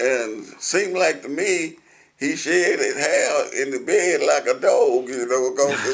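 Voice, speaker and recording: Someone with a Middle Tennessee accent talks at a fairly slow pace over noticeable background noise. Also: man. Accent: Southern US, Middle Tennessee. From Williamson County, Tennessee. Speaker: retired concrete truck driver and war veteran. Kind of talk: oral history interview answer.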